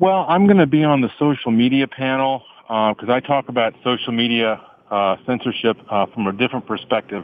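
A plain, everyday voice at a fairly quick pace, with lively intonation. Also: man, medium pitch for a man. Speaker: conference organizer. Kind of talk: radio interview. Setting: phone call from a commuter train.

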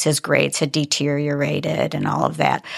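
Recorded very cleanly against a silent background, a woman speaks at a moderate pace with vocal fry, the sound dry and close with no echo. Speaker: parent of a recovering addict. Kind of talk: casual conversation. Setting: studio.

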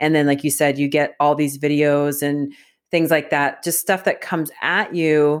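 A woman talks at a moderate pace in a very deep, low pitch, her intonation monotone and flat. Her loudness stays very even, and the recording is very clean with a silent background. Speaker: podcast host. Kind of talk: casual news commentary chat.

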